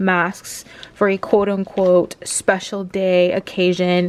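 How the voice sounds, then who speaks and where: This is a woman speaking at a medium pitch. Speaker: lifestyle vlogger. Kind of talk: casual vlog talk to camera. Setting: at home.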